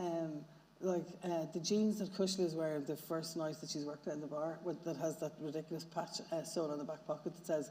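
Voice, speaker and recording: A woman speaks at a fairly low pitch and a fairly quick pace with fairly even intonation. Noticeable background noise and audible room echo fill the recording. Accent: southern Irish. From Northern Ireland. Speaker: novelist. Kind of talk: panel discussion. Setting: stage with audience. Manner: halting, many fillers.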